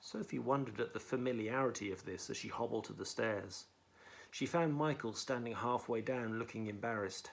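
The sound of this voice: An unforced reading voice carries ordinary pitch variation.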